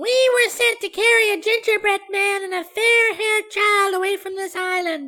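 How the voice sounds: A put-on character voice, squeaky and extremely high in pitch. It moves at a moderate pace with hardly any pauses.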